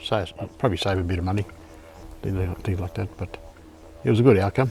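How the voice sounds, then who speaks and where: Against music in the background, a man speaks at a very fast pace in a very deep, low pitch with ordinary pitch variation. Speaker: ex-smoker. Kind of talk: interview answer.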